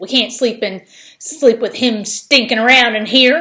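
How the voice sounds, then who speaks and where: Speaking in a put-on character voice, a woman keeps a high pitch with ordinary pitch variation. Her pace is moderate. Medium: read story. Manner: blunt, insistent.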